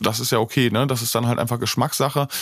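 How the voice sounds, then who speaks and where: Here a man speaks at a medium pitch and a fairly quick pace. His intonation is monotone and flat. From Germany, Bocholt area, North Rhine-Westphalia. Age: 30s. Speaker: DJ, music producer and mastering engineer. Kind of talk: interview. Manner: frequent fillers, hesitant.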